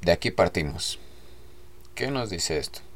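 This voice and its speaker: A man speaks at a moderate pace with lively intonation and an animated tone. The recording is very clean, with a silent background. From Mexico City. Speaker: podcast host. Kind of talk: casual monologue.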